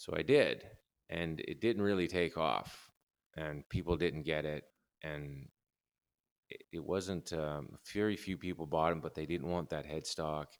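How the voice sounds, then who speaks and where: A man speaks in a Canadian accent with a very deep, low pitch. His intonation stays fairly even. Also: fairly slow pace. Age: 50s. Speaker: guitar builder. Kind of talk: casual interview chat.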